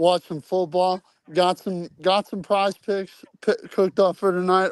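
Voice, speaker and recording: A man talks loudly at a moderate pace, with high pitch. The sound is dry and close, with no echo. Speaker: football coach. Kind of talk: casual chat.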